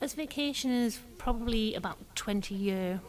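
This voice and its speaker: A woman talks at a fairly slow pace. She has an English accent. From northeast England. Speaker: furniture store owner. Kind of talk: interview.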